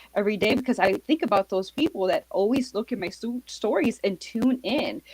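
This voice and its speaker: Noticeable background noise accompanies a woman speaking in a fairly high voice with an American accent. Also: dry, close sound with no echo. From Miami, Florida. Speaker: marketing author, small business consultant. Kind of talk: interview on live podcast.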